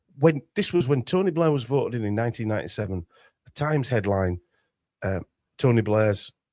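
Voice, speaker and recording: In a very clean recording with a silent background and a dry, close sound with no echo, a man with a Yorkshire accent speaks fairly quickly with lively intonation and a dark, mellow tone. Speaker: conspiracy researcher. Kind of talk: casual interview chat. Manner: halting, many restarts.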